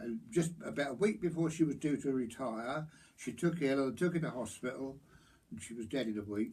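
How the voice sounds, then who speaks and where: A man speaks at a fairly quick pace with a rural Hertfordshire accent. His pitch is fairly high and his intonation lively, with a somewhat breathy quality. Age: 80s+. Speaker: local elder recalling pub life. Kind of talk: oral history interview. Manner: halting with false starts.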